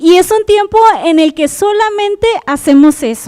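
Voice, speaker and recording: With a dark, mellow tone, a woman speaks at a fairly slow pace. The sound is dry and close, with no echo. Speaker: preacher. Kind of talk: sermon. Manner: animated.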